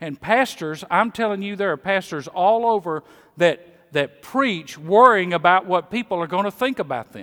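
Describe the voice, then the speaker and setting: A man with a high pitch and a Mississippi accent speaks at a moderate pace in a bright, sharp tone with lively intonation and big swings in loudness, the sound dry and close with no echo on a very clean recording with a silent background. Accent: Southern US (Mississippi). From Mississippi, US South. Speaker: pastor. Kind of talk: sermon. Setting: church.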